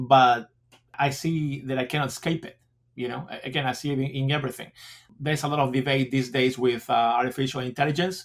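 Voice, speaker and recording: A man with a Spanish accent speaks at a fairly quick pace. His pitch is medium and his intonation fairly even. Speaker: school principal. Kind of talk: interview. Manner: halting.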